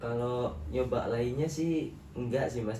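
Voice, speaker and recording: A man at a medium pitch and moderate pace, fairly even in intonation, with audible room echo. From Kebumen, Central Java, Indonesia. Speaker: university student, counseling client. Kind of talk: counseling role-play session.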